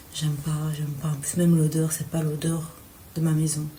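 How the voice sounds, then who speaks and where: A woman with a very deep, low voice talks at a moderate pace, and audible room echo surrounds her. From Belgium. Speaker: student vlogger. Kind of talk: vlog. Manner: hesitant.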